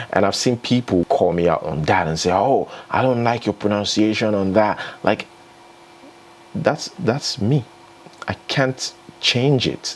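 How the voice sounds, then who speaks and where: A man talks at a fairly low pitch and a fairly slow pace, with lively intonation. He makes long, frequent pauses, and there is noticeable background noise. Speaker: entertainment news vlogger. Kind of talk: casual vlog commentary. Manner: conversational, chatty.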